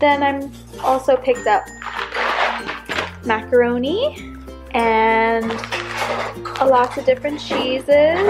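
Clear music plays in the background. The speech is very slow, broken by long, frequent pauses. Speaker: vlogger. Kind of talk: casual vlog chat. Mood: cheerful. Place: home room. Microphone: phone near.

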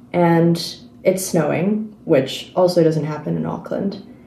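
Audible room echo surrounds a woman with a fairly low pitch. She speaks at a fairly slow pace with ordinary pitch variation. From New Zealand, partly raised in Singapore. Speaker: craft video creator. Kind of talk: casual chat. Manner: relaxed, with frequent ums. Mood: relaxed, chatty. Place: home room. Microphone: phone near.

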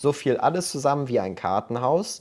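Against a quiet background, a man speaks. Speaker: crypto YouTuber. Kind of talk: tutorial. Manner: casual, direct address. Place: home room. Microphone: webcam.

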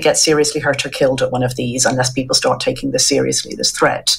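Very fast speech from a woman with an Irish accent and a very deep, low pitch. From Ireland. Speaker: journalist. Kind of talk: interview. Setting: video call. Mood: earnest, concerned. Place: home room.

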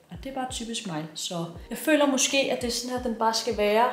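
A woman talks at a moderate pace amid audible room echo and light background noise. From Denmark. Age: 20s. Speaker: vlogger. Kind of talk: casual vlog talk. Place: home room. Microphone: phone near.

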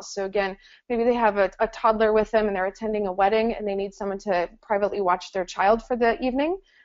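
Here a woman speaks at a very fast pace. Her pitch is fairly high. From US Midwest. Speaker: hotel business development manager. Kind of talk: webinar sales presentation. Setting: webinar.

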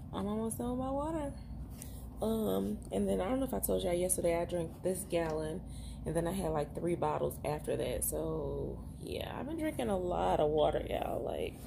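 A woman keeps a moderate pace against noticeable background noise. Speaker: mother vlogger. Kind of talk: casual vlog chat. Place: home room. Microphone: phone near.

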